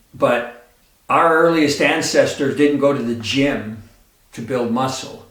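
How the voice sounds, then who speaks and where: There is audible room echo around a man speaking at a very slow pace. His pitch is fairly high and varies in an ordinary way. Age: 60s. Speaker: fitness YouTuber. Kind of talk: tutorial. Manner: casual, conversational with fillers.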